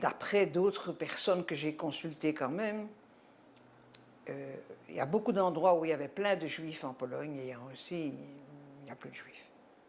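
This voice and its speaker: A woman talks at a fairly slow pace with long, frequent pauses, her pitch very deep and low, with vocal fry. Her loudness swings widely while her pitch varies in an ordinary way. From Belgium, Brussels. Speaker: Holocaust survivor giving testimony. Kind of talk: testimony interview. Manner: halting.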